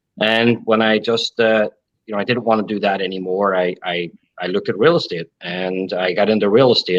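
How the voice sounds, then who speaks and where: The speaker has an Irish accent and a fairly quick pace. The sound is dry and close, with no echo. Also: man. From Ireland. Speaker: contractor business owner and real estate agent. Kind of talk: interview.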